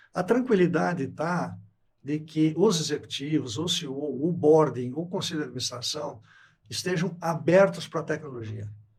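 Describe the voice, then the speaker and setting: Fairly high male voice with vocal fry, lively intonation, and a moderate pace. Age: 70s. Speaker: company CEO. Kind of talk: podcast interview.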